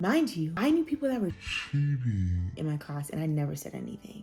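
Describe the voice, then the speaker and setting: Music plays in the background. Over it, a woman speaks at a moderate pace. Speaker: nurse, former nursing student. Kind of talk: casual talk to camera.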